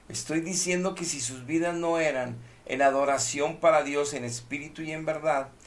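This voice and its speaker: The voice moves at a moderate pace with fairly even intonation, over noticeable background noise and audible room echo. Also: man. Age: 60s. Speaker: preacher. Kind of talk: sermon. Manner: emphatic.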